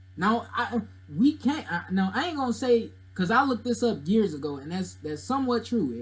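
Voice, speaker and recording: A man speaks in a raised, projected voice with a bright, sharp tone. His pace is moderate and his pitch swings very widely. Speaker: YouTuber discussing religion and mythology. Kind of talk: casual commentary monologue. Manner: loud, yelling; animated.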